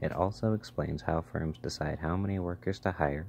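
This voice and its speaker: The man is soft-spoken, and vocal fry runs through his voice. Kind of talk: ASMR textbook reading.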